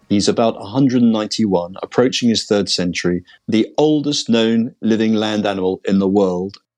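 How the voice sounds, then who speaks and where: With a British accent, a man speaks at a fairly low pitch and a fairly quick pace, with hardly any pauses, ordinary pitch variation and very even loudness. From Britain. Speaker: veterinarian. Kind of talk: interview testimony. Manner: hesitant with repetitions.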